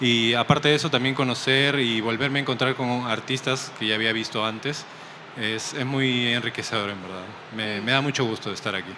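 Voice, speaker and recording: Fairly even intonation marks a man's speech in a Peruvian accent. Noticeable background noise and audible room echo fill the recording. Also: medium pitch for a man, fairly quick pace. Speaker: comic artist. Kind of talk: interview. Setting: comic convention stream set.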